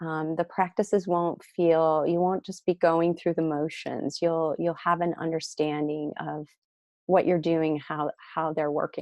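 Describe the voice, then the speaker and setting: Slowish and flat, a woman with an Ohio accent talks in a monotone at a fairly low pitch and a fairly slow pace. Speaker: spiritual teacher, tantra and yoga guide. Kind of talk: webinar teaching. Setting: online webinar.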